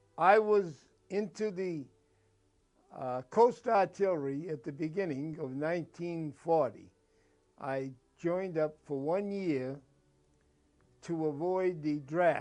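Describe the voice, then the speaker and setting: Speaking very slowly with long, frequent pauses, a man with an American accent uses ordinary pitch variation. His pitch is fairly high. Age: 80s+. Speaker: war veteran. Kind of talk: personal testimony interview. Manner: halting, with false starts and fillers.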